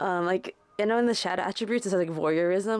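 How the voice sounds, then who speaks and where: Over music in the background, a woman talks at a fairly quick pace in a fairly low pitch. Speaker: tarot reader. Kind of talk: tarot reading. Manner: casual, filler-heavy.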